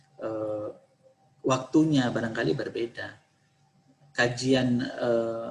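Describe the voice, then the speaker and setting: Long, frequent pauses break up the speech, which moves at a very slow pace with fairly even intonation. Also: man, medium pitch for a man. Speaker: university lecturer briefing students. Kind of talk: briefing Q&A session. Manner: halting with many fillers.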